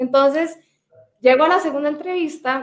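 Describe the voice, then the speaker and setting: Ordinary pitch variation in a woman's speech. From Costa Rica. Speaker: sales executive. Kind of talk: interview.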